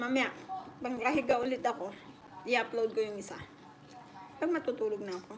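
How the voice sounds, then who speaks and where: A woman talks at a fairly quick pace in a high pitch, with ordinary pitch variation and big swings in loudness. Long, frequent pauses break up her speech over noticeable background noise. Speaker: livestreamer. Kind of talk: casual chat.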